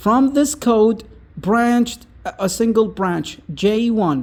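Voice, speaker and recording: The speaker has an Arabic accent. The pace is very slow. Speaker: content creator. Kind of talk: casual explainer monologue. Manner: halting, with many fillers.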